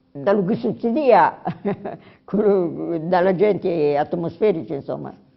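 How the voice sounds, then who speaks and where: Her intonation lively, a woman talks at a very slow pace. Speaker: interviewee recalling childhood. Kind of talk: interview. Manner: halting, many fillers.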